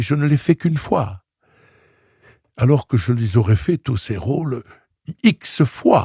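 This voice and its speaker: A man with a medium pitch and a dark, mellow tone sounds somewhat breathy, with lively intonation. He speaks at a very slow pace with long, frequent pauses. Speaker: opera singer. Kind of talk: interview answer. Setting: studio.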